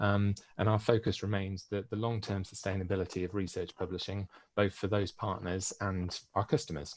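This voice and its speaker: With a British accent, a man with a fairly low voice speaks at a moderate pace with fairly even intonation, in a very clean recording with a silent background. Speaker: publisher sales manager. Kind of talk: conference presentation. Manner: halting, many fillers.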